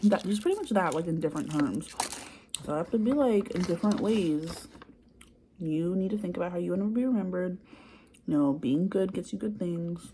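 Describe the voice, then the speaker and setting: A soft-spoken woman with a medium pitch and ordinary pitch variation talks at a fairly quick pace, broken by long, frequent pauses. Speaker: childcare worker. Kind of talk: ASMR soft-spoken ramble to camera. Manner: soft-spoken, quiet.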